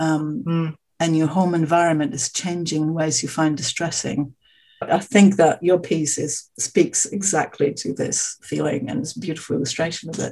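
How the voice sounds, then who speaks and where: A woman speaks at a moderate pace in a fairly low pitch. Her voice is somewhat breathy, with a dark, mellow tone. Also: ordinary pitch variation. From Australia. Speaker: podcast host. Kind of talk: interview conversation.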